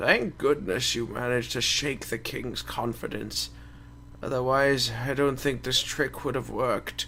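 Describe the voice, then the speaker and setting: Putting on a raspy character voice, a man projects loudly at a moderate pace and medium pitch, with clear background noise behind him. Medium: actual play. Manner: courteous, warm.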